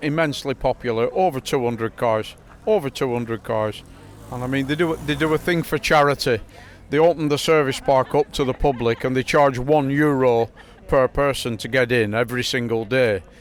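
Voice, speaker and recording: A man with a northern English accent talks at a medium pitch. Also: ordinary pitch variation, moderate pace. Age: 60s. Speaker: classic rally car owner. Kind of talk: casual chat.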